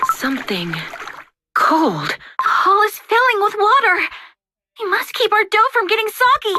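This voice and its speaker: A put-on character voice, female-sounding, with an extremely high pitch. It moves at a moderate pace. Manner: soft, earnest.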